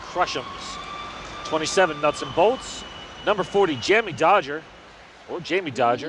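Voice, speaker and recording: Against noticeable background noise, a man with an American accent speaks in a high voice at a moderate pace, with long, frequent pauses. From United States. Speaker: sports commentator. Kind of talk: live commentary.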